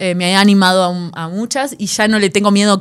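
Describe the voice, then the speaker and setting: A woman with a Rioplatense accent speaks at a medium pitch with fairly even intonation in a very clean recording with a silent background. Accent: Argentine Rioplatense Spanish. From Argentina. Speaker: jazz drummer and big band director. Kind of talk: casual chat. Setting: rehearsal room studio.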